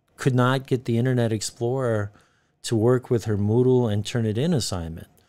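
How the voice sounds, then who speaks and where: On a very clean recording with a silent background, a man with an American accent speaks in a normal speaking voice at medium pitch and a moderate pace, with ordinary pitch variation. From United States. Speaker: university lecturer. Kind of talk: podcast interview.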